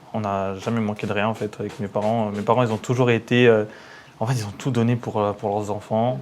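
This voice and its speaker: An unremarkable speaking voice from a man, fairly low pitch, fairly even intonation, fairly quick pace. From Paris suburbs, Seine-et-Marne. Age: 30s. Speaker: entrepreneur, engineer. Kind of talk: casual interview.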